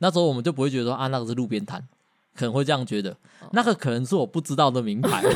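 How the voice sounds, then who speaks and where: Very clean and silent in the background, this recording has a man at medium pitch. He talks at a very fast pace with lively intonation. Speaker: podcast co-host. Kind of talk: casual chat.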